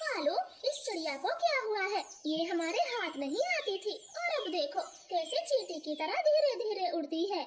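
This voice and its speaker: In a cartoonish character voice, a woman speaks at a moderate pace with an extremely high pitch over clear background noise. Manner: brisk, commanding.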